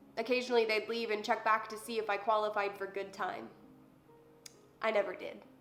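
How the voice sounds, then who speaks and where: A woman at fairly high pitch, monotone, flat intonation, fairly quick pace, long, frequent pauses, music in the background. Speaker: poet. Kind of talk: spoken word poetry performance.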